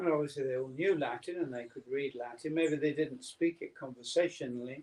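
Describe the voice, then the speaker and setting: With an English accent, the speaker talks at a fairly quick pace with ordinary pitch variation. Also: man, fairly high pitch for a man. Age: 60s. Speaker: spiritual teacher. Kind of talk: lecture with consecutive interpretation. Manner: halting.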